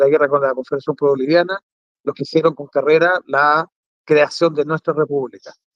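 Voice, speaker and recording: A man's fairly high voice at a fairly quick pace, with fairly even intonation and a dry, close sound with no echo. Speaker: museum director and military historian. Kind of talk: interview on a talk show.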